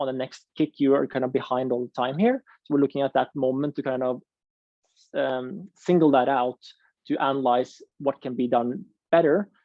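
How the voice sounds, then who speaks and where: With a non-native accent, the speaker moves at a moderate pace. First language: not English. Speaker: ski coaching presenter. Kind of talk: online coaching workshop.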